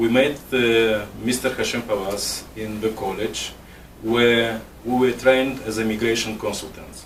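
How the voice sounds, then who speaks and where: With noticeable background noise and audible room echo, a man speaks at a moderate pace and medium pitch, keeping his intonation fairly even. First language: Russian. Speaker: immigration consultant, interviewer. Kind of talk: interview. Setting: office. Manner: partly reading from paper.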